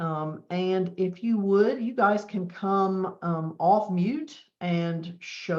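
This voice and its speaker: The speaker has a Southern US accent and ordinary pitch variation. Hardly any pauses break up the speech. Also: woman. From US South. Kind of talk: webinar presentation.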